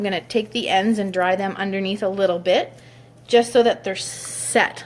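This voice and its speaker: The speaker has an unremarkable speaking voice, a moderate pace and fairly even intonation. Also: woman. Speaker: hairstylist. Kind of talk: tutorial.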